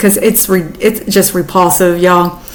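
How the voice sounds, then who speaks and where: Here a woman talks with an American accent. Audible room echo and noticeable background noise come through. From US South. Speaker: YouTuber. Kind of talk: casual commentary. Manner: animated.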